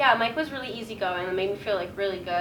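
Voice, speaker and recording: A woman with a Canadian accent speaks at a fairly high pitch, with ordinary pitch variation. The room echoes audibly and background noise is noticeable. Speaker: radio broadcasting graduate. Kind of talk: casual interview. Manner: loud.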